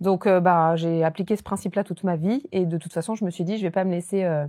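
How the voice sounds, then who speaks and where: A woman talks at a very fast pace in a dark, mellow tone with ordinary pitch variation. The recording is very clean, with a silent background. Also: dry, close sound with no echo. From southern France. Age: 30s. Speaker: real estate investor and entrepreneur. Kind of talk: podcast interview.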